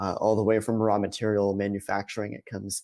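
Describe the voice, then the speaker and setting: A man with an American accent speaks fairly quickly at a fairly low pitch, his tone dark and mellow. The sound is dry and close with no echo, over a quiet background. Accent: Boston accent, suppressed. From US Northeast, Boston area. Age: 20s. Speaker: sustainability analyst at a snack company. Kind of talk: conference presentation. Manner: hesitant, many fillers and repetitions.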